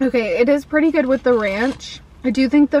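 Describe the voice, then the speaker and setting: With an American accent, a woman talks at a moderate pace with ordinary pitch variation in a dry sound with no echo. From US South. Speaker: food vlogger. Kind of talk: casual vlog taste test. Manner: animated. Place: car. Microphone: phone near.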